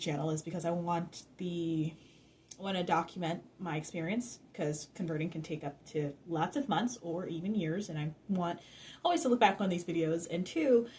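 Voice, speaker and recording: A woman with an American accent, somewhat breathy and fairly low-pitched, at a moderate pace. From North Carolina. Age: 20s. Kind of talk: casual talk to camera.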